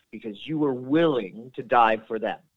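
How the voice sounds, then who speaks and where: Lively intonation from a man with a normal speaking voice at a medium pitch. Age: 40s. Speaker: retired soldier, war veteran. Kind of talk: interview. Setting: phone call.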